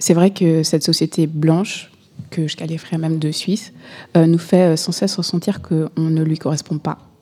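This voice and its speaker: A woman's fairly low, dark and mellow voice moves at a moderate pace with monotone, flat intonation. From Burundi, raised in Switzerland. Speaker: guest on identity project. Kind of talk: radio interview.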